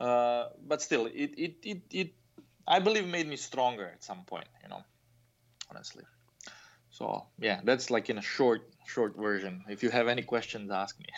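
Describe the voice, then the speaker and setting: A man with a Croatian accent uses lively intonation while taking long, frequent pauses. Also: medium pitch for a man, moderate pace, big swings in loudness. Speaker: fencing coach, former Olympian. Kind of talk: interview. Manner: halting, many fillers and repetitions.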